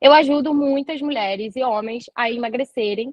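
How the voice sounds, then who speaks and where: Her voice is high-pitched, and this woman speaks with lively intonation. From Rio de Janeiro, Brazil. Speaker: nutritionist. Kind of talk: live online talk. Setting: live stream.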